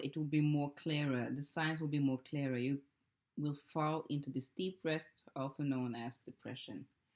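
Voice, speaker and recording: Speaking with a non-native accent, a woman has a very deep, low pitch. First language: not English. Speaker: tarot card reader. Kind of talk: oracle card reading. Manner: casual, hesitant.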